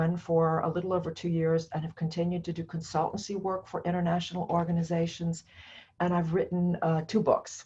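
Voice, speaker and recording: Somewhat breathy, with a dark, mellow tone, a woman speaks in an American accent at a fairly low pitch. Her pace is fairly quick and her intonation fairly even. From United States. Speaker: professor. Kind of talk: lecture. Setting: recorded alone to camera.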